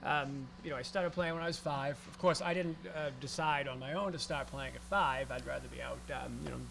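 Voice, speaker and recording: A man talks at a fairly quick pace with hardly any pauses. Audible room echo surrounds his voice. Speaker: ragtime pianist. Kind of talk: interview. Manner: halting, many fillers.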